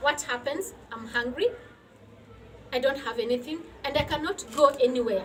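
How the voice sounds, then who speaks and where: This woman has a high pitch and ordinary pitch variation, speaking at a moderate pace. There is noticeable background noise. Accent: non-native. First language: not English. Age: 40s. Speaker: women's health entrepreneur. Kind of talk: personal testimony. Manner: emotional, earnest.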